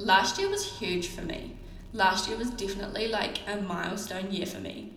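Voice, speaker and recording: A woman talks at a moderate pace in a room with audible echo, and noticeable background noise is present. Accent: New Zealand. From New Zealand. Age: young. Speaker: beauty business owner and coach. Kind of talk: solo podcast monologue. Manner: casual, filler-heavy (um, like).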